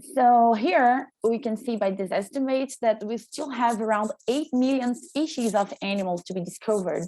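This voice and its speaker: With hardly any pauses, a woman talks at a fairly high pitch in a dark, mellow tone. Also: ordinary pitch variation, moderate pace. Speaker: PhD student, keynote speaker. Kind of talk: conference talk.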